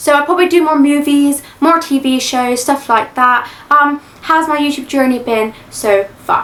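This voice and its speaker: Speaking at a moderate pace with an English accent and ordinary pitch variation, the voice comes through over noticeable background noise. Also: woman, high pitch for a woman. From England. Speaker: YouTube reaction creator. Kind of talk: Q&A chat. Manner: says like a lot.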